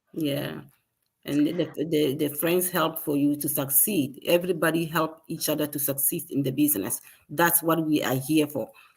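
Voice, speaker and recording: A woman with a Ghanaian accent speaks at a moderate pace. Her very deep, low voice keeps fairly even intonation. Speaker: digital business owner. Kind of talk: live stream conversation.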